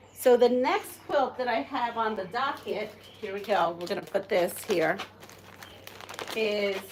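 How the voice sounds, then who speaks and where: Amid noticeable background noise, a woman with a fairly high voice talks at a fairly slow pace with lively intonation and long, frequent pauses. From Puerto Rico. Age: 60s. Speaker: quilter. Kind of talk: live stream tutorial. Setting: live stream. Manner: casual, chatty.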